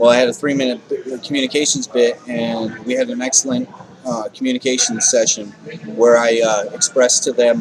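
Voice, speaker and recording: Noticeable background noise runs beneath a man talking at a moderate tempo. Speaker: homeless advocate vlogger. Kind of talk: video diary. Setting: sitting in usual spot, recording to camera. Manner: halting, repeats words.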